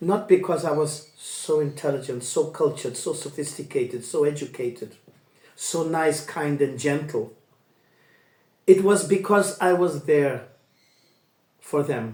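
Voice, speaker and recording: A man speaks at a fairly slow pace with long, frequent pauses and a somewhat breathy voice. His pitch is fairly high, with ordinary variation. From international upbringing, Asia and Europe. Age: 60s. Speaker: life coach and storyteller. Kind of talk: personal monologue.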